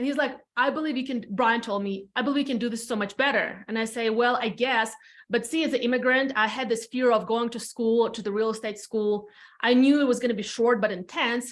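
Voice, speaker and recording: A woman talks at a very fast pace with an Eastern European accent. Her voice sits high in pitch. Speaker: real estate team leader. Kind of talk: podcast interview, personal story. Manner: casual, animated.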